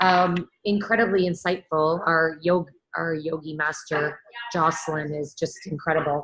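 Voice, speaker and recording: A woman's fairly low voice at a fairly slow pace with fairly even intonation. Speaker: wellness coach. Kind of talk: casual chat.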